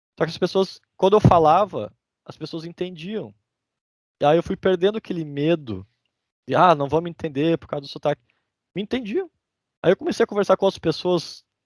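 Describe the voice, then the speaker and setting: With a southern Brazilian accent, a man speaks at a moderate pace in a high pitch, his intonation lively, his loudness swinging widely and his long pauses frequent, on a very clean recording with a silent background. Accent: southern Brazilian (gaúcho) Portuguese. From Brazil, interior of Rio Grande do Sul. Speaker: immigrant sharing his story. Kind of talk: casual podcast interview.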